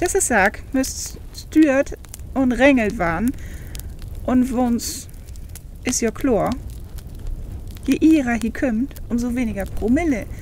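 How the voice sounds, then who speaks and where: A woman's high voice at a very slow pace. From Northern Germany.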